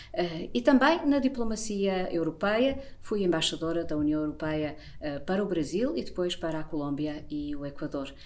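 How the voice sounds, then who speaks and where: Her pitch fairly low, a woman talks with very wide pitch swings. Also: moderate pace. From Portugal. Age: 60s. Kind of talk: self-introduction monologue.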